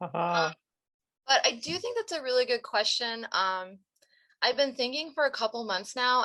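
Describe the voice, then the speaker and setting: Over a quiet background, a woman with a bright, sharp tone speaks at a moderate pace. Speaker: philosophy lecturer. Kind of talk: Q&A discussion. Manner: thinking out loud, hesitant.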